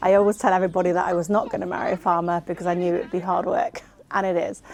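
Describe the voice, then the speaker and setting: A woman in a West Country accent, medium pitch, monotone, flat intonation, very fast pace, over noticeable background noise. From South Gloucestershire, England. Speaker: farmer's wife and bookkeeper. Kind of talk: documentary interview.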